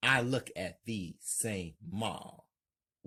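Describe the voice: The background is quiet. Someone reads aloud plainly, with ordinary pitch variation.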